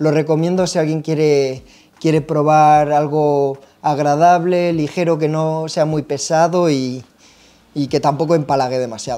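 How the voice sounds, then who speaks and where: At a fairly slow pace, a man speaks in a monotone, flat voice with a dark, mellow tone and a fairly high pitch. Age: 30s. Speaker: pipe tobacco shop video host. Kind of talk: casual product review chat. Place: shop. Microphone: lapel.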